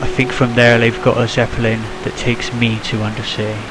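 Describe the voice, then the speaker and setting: A man with a strong British accent and a medium pitch, amid audible room echo and noticeable background noise. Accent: British, self-described as strong. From UK. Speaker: gaming video creator. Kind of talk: let's play commentary. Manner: animated.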